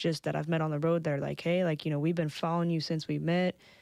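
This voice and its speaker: Soft-spoken, a woman with a very deep, low pitch and a dark, mellow tone talks in a flat monotone, in a very clean recording with a silent background. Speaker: podcast guest. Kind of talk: casual chat. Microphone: too quiet.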